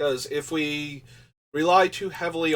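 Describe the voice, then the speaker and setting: The speaker is a man. His pitch sits fairly high. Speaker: streamer building card game decks. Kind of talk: live stream commentary. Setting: live stream.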